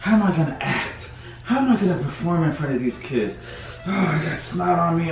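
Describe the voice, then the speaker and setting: A man at a fairly quick pace, with audible room echo and clear music in the background. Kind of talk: comedy skit monologue. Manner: stuffy, miserable sick complaining. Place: home room. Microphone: camera far.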